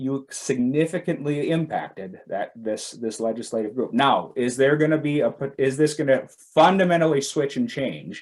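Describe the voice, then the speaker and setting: A man with a plain, everyday voice and a fairly high pitch talks with ordinary pitch variation and hardly any pauses. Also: moderate pace. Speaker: education administrator, keynote speaker. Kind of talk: keynote presentation with Q&A.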